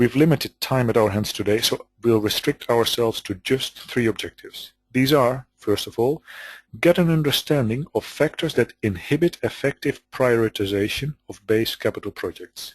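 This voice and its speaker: A somewhat breathy man's voice with a Dutch accent, moderate in pace, with ordinary pitch variation, dry and close with no echo, and a quiet background. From Netherlands. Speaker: business consultant. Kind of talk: webinar presentation. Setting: webinar call.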